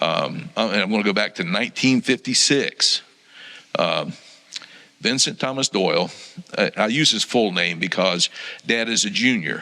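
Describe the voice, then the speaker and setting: Over noticeable background noise, a man talks at a medium pitch and moderate pace, taking long, frequent pauses. His intonation is lively and his loudness very even. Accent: American. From Florida. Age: 60s. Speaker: church member sharing testimony. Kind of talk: testimony. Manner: halting, many ums.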